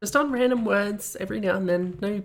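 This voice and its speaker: A woman with an Australian accent, medium in pitch, with ordinary pitch variation. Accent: Australian, some say slight New Zealand tinge. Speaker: streamer reviewing game maps. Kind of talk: live stream commentary. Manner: casual, meandering.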